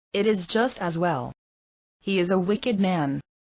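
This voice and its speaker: Someone performs a put-on character voice at a moderate pace with very even loudness. The sound is dry and close with no echo, over a quiet background. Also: woman, medium pitch for a woman. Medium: read story. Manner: dramatic, emotional.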